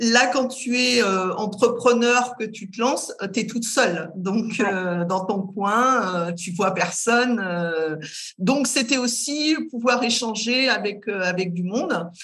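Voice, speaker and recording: Against noticeable background noise and audible room echo, a woman with a fairly high pitch and ordinary pitch variation speaks at a very slow pace. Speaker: career guidance counsellor, entrepreneur. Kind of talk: casual interview.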